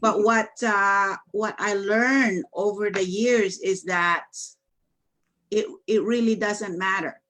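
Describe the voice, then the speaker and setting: A woman speaks loudly and very slowly in a Filipino accent. Her voice sits at medium pitch with fairly even intonation. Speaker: business coach. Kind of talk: casual chat.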